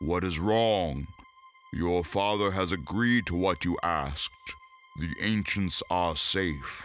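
Over music in the background, a man uses a put-on character voice with a very deep, low pitch and a solemn tone at a fairly slow pace. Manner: slow, solemn, wise.

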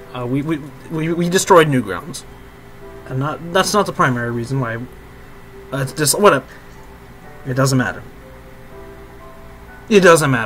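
Music plays in the background as a man talks at a moderate pace with long, frequent pauses. His pitch is fairly high and his intonation lively. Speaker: student radio station host. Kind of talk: gaming let's play commentary. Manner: casual, profane.

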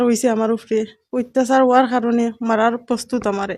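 A woman speaks in a high voice. Her intonation is monotone and flat. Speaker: widowed housewife. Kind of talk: media appeal. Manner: halting.

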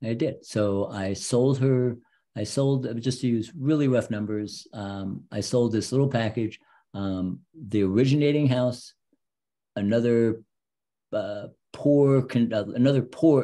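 A man speaks at a fairly slow pace, his pitch fairly low. His tone is dark and mellow, with ordinary pitch variation.

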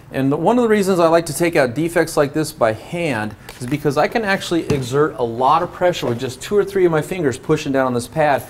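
A man talks at a very fast pace with hardly any pauses. His intonation is lively over light background noise. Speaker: show host. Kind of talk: tutorial. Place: garage.

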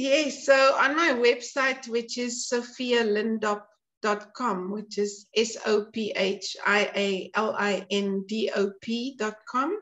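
A woman at a fairly high pitch and a very slow pace. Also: ordinary pitch variation, hardly any pauses. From South Africa, rural. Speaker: entrepreneur and cookbook writer; interview guest. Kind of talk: casual interview chat. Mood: warm, animated. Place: home room. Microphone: video call.

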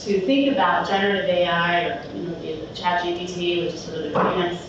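In an American accent, a woman speaks at a medium pitch and moderate pace with fairly even intonation, amid noticeable background noise and strong room echo. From Philadelphia. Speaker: conference speaker, tech business development lead. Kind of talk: conference talk. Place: hall.

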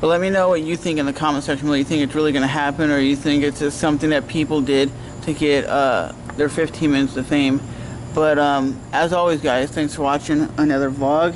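Noticeable background noise accompanies a man whose delivery is monotone and flat, with very even loudness. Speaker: vlogger. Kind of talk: casual vlog chat. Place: street. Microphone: phone near.

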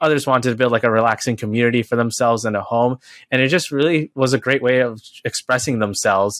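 A man with an American accent talks very fast, with fairly even intonation and very even loudness. The sound is dry with no echo, over a quiet background. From New York City, Queens; New York. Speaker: high school teacher. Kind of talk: casual interview. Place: home room.

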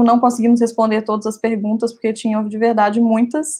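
Somewhat breathy and dark, mellow in tone, a woman speaks at a very fast pace. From Brazil. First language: Portuguese. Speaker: event organizer and moderator, doctoral student; moderator. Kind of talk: event moderation. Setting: livestream video platform. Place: home room. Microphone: earbuds.

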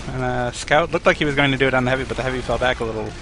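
Noticeable background noise sits behind a man talking very fast. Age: 20s. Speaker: game commentator. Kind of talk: live commentary.

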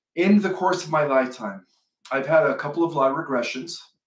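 A man is speaking. There is audible room echo against a quiet background. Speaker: channel host. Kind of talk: casual vlog chat. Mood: relaxed, amused. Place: home room. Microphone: webcam.

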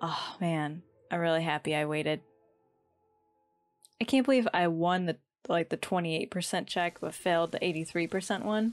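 A soft-spoken woman with long, frequent pauses and faint music in the background. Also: fairly low pitch for a woman, ordinary pitch variation, moderate pace. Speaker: gaming YouTuber. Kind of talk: let's play commentary. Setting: home recording at night. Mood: amused, a bit sad. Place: home room.

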